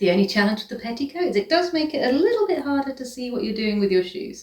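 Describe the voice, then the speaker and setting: A woman's high voice with a British accent, very fast and full of very wide pitch swings. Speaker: vintage fashion content creator. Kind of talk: styling tutorial. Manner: casual, enthusiastic.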